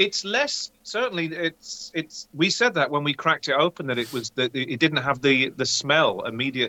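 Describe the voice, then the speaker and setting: Using an ordinary speaking voice, a man talks at a moderate pace with a fairly high pitch, lively intonation and hardly any pauses. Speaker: co-host, beer taster. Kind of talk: casual chat while tasting beer.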